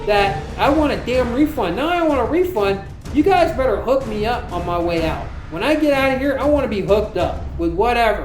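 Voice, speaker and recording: In an American accent, a man talks at a fairly quick pace with an extremely high pitch and very wide pitch swings. Music plays in the background, and room echo is audible. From US South, Florida. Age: 40s. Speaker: vlogger. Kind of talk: personal monologue. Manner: animated.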